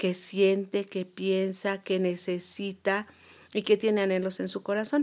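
This woman's voice sits at a medium pitch. She talks very slowly. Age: 60s. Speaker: retired business administrator and cosmetologist. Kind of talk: interview.

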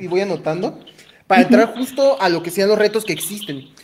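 A man is heard over noticeable background noise. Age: 20s. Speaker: podcast host. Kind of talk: interview conversation.

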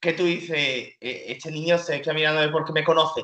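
At a moderate pace, the speaker talks in an animated tone with an Andalusian accent. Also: man. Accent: peculiar Andalusian. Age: 20s. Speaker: comedian. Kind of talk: casual chat.

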